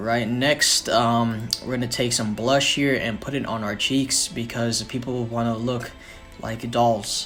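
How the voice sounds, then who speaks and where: Over music in the background, a man speaks at a moderate pace with a medium pitch and monotone, flat intonation. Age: 19. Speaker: son of the channel owner doing the voiceover. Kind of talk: comedic makeup tutorial voiceover. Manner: deadpan, sarcastic, joking.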